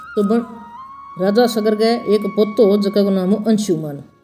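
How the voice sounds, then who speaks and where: The speaker has a Rajasthani accent. Music plays in the background. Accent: Bagri Rajasthani dialect. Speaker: religious storyteller. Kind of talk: devotional story narration.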